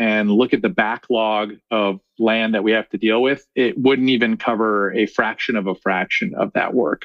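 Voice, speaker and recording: Here a man has a plain, everyday voice at a medium pitch. His pace is moderate, and his pitch varies in an ordinary way. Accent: American. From US Midwest, Chicago. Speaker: reforestation scientist and executive. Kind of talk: interview.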